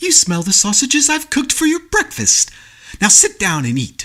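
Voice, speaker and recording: A man's put-on character voice at an extremely high pitch. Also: moderate pace. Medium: read story.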